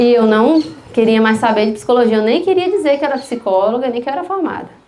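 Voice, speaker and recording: Over noticeable background noise and audible room echo, a woman talks at a fairly quick pace in a fairly high voice. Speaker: psychologist giving a talk at church. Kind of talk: testimony. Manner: conversational.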